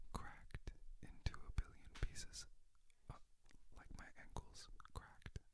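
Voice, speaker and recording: The speaker whispers at a fairly slow pace, with long, frequent pauses. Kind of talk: ASMR trigger words for sleep and relaxation. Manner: soft-spoken, whispering.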